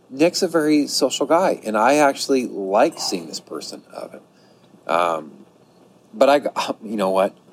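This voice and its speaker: A man talks at a fairly slow pace, with very wide pitch swings and big swings in loudness. Noticeable background noise runs underneath. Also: medium pitch for a man. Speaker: hiker. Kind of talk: casual chat. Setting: on location.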